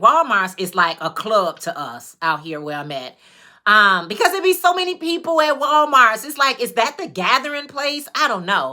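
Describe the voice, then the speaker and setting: Speaking at a moderate pace with an American accent, a woman sounds animated, her bright, sharp tone marked by very wide pitch swings and big swings in loudness. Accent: Chicago accent, noticed by others. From Chicago, US. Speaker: YouTuber, crafter. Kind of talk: livestream casual chat. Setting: livestream, on camera.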